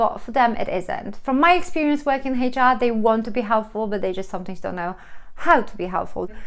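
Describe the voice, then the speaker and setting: With a Polish accent, a woman speaks very fast in a fairly high pitch, her intonation lively. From Poland. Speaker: vlogger, HR professional. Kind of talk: advice vlog. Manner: hesitant fillers.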